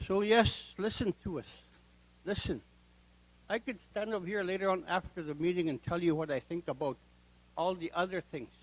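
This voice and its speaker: The speech moves at a moderate pace with ordinary pitch variation. Long, frequent pauses come often. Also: man, high pitch for a man. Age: 70s. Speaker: community member speaking at public meeting. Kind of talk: public comment at hearing. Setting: public meeting hall. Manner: halting.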